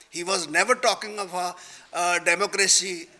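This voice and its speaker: Against noticeable background noise, a man with a Punjabi accent speaks at a high pitch with fairly even intonation. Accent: Indian Punjabi English. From Punjab, India. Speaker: retired judge and panel speaker. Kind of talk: panel discussion. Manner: halting.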